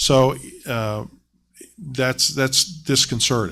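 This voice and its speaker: A man with a Southern Ohio accent and fairly even intonation. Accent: Southern Ohio accent, noticeable. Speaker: school district treasurer. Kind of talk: public meeting presentation. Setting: board meeting. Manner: halting, many fillers.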